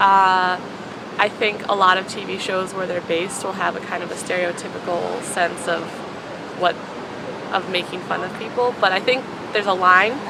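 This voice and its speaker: Pausing long and often, a woman talks at a moderate pace with a medium pitch and fairly even intonation. There is noticeable background noise. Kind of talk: interview answer.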